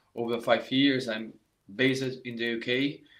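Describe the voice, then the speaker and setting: A man speaks in a Brazilian accent at medium pitch. His pace is fairly slow and his intonation monotone and flat. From Brazil, Rio de Janeiro. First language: Portuguese. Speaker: saxophone teacher. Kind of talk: live online masterclass. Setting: live stream. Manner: halting, many fillers and restarts.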